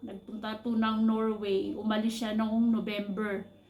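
Somewhat breathy, a woman speaks fairly slowly with a fairly high pitch. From Philippines. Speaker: overseas worker vlogger, caregiver. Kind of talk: personal vlog monologue.

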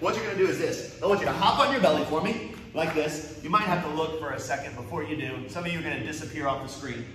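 Noticeable background noise and audible room echo are present. Through them a man speaks at a very fast pace. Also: ordinary pitch variation, hardly any pauses. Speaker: karate instructor. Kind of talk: live class coaching instructions. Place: gym. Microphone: earbuds.

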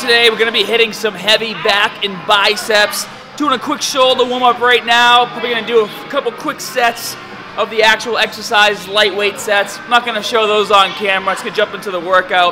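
Against clear music in the background, a man speaks in a raised, projected voice with fairly even intonation. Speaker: fitness vlogger. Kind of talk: tutorial. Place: gym.

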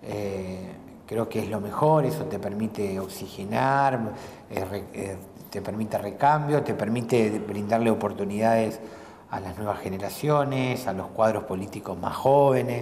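A man talks at a fairly slow pace with a fairly low pitch. His pitch variation is ordinary, and light background noise can be heard. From Argentina, Santa Fe province. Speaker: provincial legislator; interviewee. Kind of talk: casual interview over a meal. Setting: restaurant. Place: cafe.

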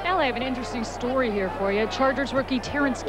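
There is noticeable background noise. A woman speaks in a high voice. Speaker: sideline reporter.

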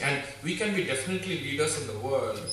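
At a fairly quick pace, a man talks over light background noise, with audible room echo. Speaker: speaker. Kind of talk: inspirational talk. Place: hall.

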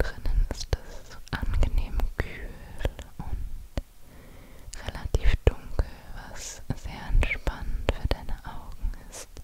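A woman whispering at a very slow pace. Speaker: ASMR creator. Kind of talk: casual chat and whispered guided story. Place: home room. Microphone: studio mic.

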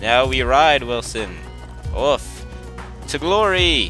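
A man talks at a very slow pace while music sounds in the background. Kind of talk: casual gameplay commentary. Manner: casual, rambling.

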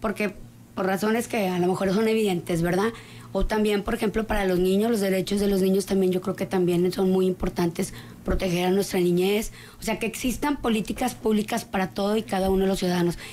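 A woman talks at a fairly quick pace in a dark, mellow tone. Her loudness stays very even over light background noise. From Coahuila, Mexico. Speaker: political candidate; candidate. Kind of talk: studio interview. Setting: studio. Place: studio. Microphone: studio mic.

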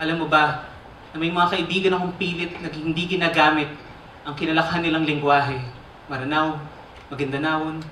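A man with a fairly high pitch talks at a fairly quick pace in a monotone, flat intonation, with audible room echo and light background noise. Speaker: spoken word poet. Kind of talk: spoken word poetry performance. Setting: live theater stage. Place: stage.

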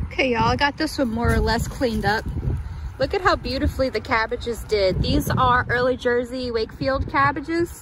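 The talk runs at a fairly quick pace in a dry sound with no echo, with noticeable background noise. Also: woman. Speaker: home gardener vlogger. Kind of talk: casual vlog chat. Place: garden. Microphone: phone near.

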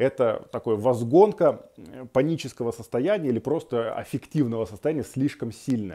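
Over a quiet background, a man speaks at a moderate pace in a dark, mellow tone with lively intonation. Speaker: psychologist; guest. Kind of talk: self-help tutorial. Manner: calm, measured. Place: home room. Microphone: earbuds.

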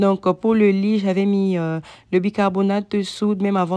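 A woman's medium-pitched voice, dark and mellow yet clear and smooth, with little pitch movement.

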